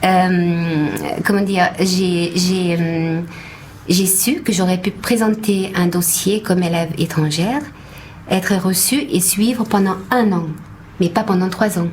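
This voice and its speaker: With a slight Hungarian accent, a woman speaks at a very slow pace and medium pitch, with ordinary pitch variation, very even loudness and long, frequent pauses, over noticeable background noise and audible room echo. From Hungary. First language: Hungarian (speaking French). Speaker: actress. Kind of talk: radio interview. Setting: radio studio. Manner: halting.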